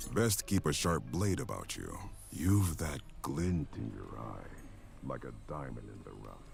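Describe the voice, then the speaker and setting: Over clear background noise, a man puts on a character voice and speaks at a moderate pace. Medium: video game. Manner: solemn, archaic phrasing.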